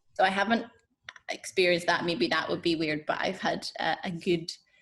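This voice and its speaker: A woman at a fairly low pitch and moderate pace. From Northern Ireland. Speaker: puppeteer. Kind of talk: interview.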